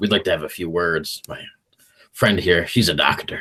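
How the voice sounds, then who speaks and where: In a put-on character voice, a man speaks at a very deep, low pitch, raspy, with fairly even intonation at a moderate pace. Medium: actual play. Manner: smug, wry.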